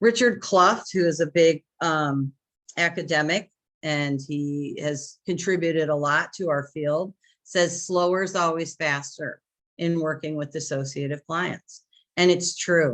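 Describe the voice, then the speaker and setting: With a quiet background behind her, a woman speaks fairly slowly in a normal speaking voice, fairly low in pitch and fairly even in intonation. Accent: American. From US Midwest, Chicago area. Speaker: therapist and trainer. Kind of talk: lecture.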